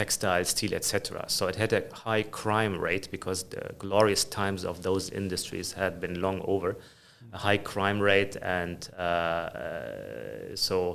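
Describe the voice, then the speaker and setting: Speaking at a fairly slow pace, a man has a slight German accent. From Germany. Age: 50s. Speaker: finance executive. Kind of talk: interview conversation. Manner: frequent hesitations.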